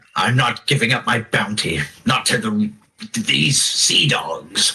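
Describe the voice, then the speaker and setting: A raspy, put-on character voice at a fairly slow pace with very even loudness. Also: man, medium pitch for a man. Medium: actual play.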